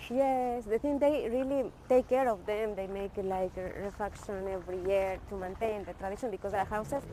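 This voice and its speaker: With a Spanish accent, a woman speaks in a dark, mellow tone at a moderate pace with hardly any pauses. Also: medium pitch for a woman, ordinary pitch variation. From Ecuador. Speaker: vlogger showing the city to students. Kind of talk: casual walking tour chat.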